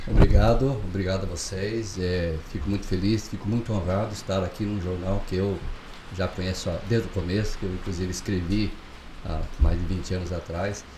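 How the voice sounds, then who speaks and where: A man speaks with a very deep, low pitch and fairly even intonation, amid noticeable background noise and audible room echo. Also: moderate pace. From southern Brazil, Chapecó (Santa Catarina). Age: 60s. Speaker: pharmacist and local election candidate. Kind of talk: interview. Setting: studio.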